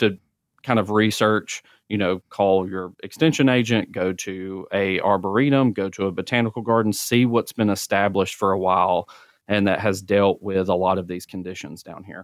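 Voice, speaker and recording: In an Alabama accent, the speaker keeps a moderate pace and fairly even intonation in a dry, close recording with no echo and a very clean, silent background. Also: man. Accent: Southern US (Alabama). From North Alabama (Centre). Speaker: regional extension agent, horticulturist. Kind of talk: podcast interview.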